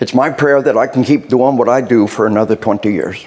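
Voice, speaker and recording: A man with an American accent, medium pitch and ordinary pitch variation, at a fairly quick pace over noticeable background noise. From US South (Arkansas). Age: 60s. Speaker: military trainer and speaker. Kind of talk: workshop lecture. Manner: animated.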